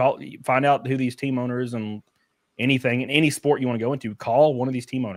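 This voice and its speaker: With a Southern US accent, a man rattles along at a very fast pace, his medium-pitched voice holding fairly even intonation. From Alabama, US South. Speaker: race car driver. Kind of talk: casual chat.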